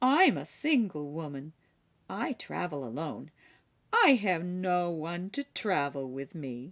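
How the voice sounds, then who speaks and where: Using a put-on character voice, a woman speaks at a fairly slow pace in a fairly low pitch with very wide pitch swings. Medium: read story. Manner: plain, rustic.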